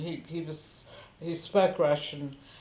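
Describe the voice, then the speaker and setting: A woman speaks at a fairly slow pace with fairly low pitch. Audible room echo surrounds her voice. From Central Europe, ethnic German. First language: German. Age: 70s. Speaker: war refugee interviewee. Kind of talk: interview testimony. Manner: halting, many fillers.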